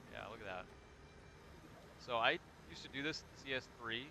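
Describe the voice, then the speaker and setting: Talking at a fairly quick pace, a man with a Michigan accent has a bright, sharp tone. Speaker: gaming streamer. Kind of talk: casual chat.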